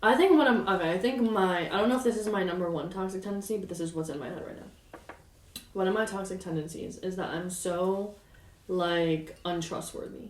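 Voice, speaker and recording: Amid noticeable background noise and audible room echo, a woman at medium pitch speaks at a fairly quick pace with ordinary pitch variation and big swings in loudness. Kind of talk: casual chat.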